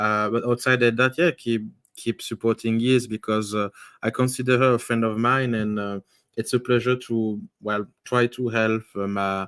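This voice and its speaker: Speaking with a strong French accent, a man keeps a medium pitch, a moderate pace and fairly even intonation. The recording is very clean, with a silent background and a dry, close sound free of echo. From Belgium. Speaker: youtuber and author. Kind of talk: casual chat. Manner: halting.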